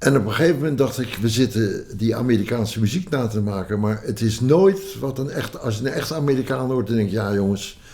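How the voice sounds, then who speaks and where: Lively intonation at a fairly quick pace, with hardly any pauses and noticeable background noise. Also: man. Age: 80s+. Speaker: banjo player and folk musician. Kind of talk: interview storytelling. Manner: halting, many fillers.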